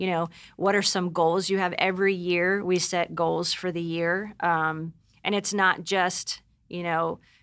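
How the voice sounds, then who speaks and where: A woman uses an ordinary speaking voice, fairly low in pitch with fairly even intonation, on a very clean recording with a silent background. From Pennsylvania. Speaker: stay-at-home mother. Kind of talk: casual interview chat.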